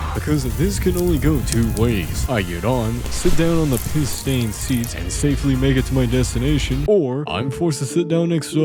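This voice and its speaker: Music plays in the background. A man with a medium pitch talks at a fairly quick pace. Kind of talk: comedic gameplay voiceover narration. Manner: chaotic, joking.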